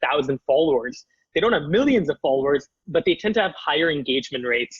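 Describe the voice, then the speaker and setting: A man with a Canadian accent speaks fairly quickly in a somewhat breathy voice at a fairly high pitch. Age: 20s. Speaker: startup founder. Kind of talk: interview.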